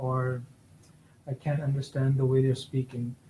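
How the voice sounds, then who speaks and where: A man with a fairly high pitch speaks in a dark, mellow, somewhat breathy tone. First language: not English. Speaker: exam prep session leader. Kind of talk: peer discussion session. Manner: halting.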